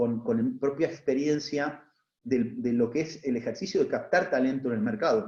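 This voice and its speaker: A man with an Argentine accent speaks at a moderate pace and medium pitch, his tone dark, mellow and somewhat breathy, his intonation lively. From Argentina. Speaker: HR executive, panelist. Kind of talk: panel talk. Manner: halting, many fillers and repetitions.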